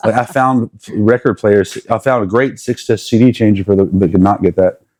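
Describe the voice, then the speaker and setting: A man with an American accent and a plain, everyday voice speaks at medium pitch with ordinary pitch variation, the sound dry and close with no echo. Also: moderate pace, very even loudness. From South Carolina. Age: 40s. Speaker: musician and music teacher. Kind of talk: casual interview chat.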